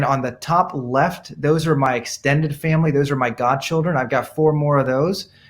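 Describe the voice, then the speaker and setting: With an American accent, a man talks at a fairly high pitch. His pace is fairly quick. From India, emigrated to US as a child in the 1970s. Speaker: dermatologist. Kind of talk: interview. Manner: animated.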